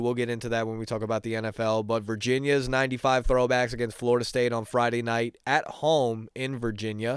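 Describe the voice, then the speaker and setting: A man speaks at a fairly quick pace with hardly any pauses. His medium-pitched voice has monotone, flat intonation. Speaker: sports podcast host. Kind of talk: casual solo sports talk. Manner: halting, many fillers and repeats.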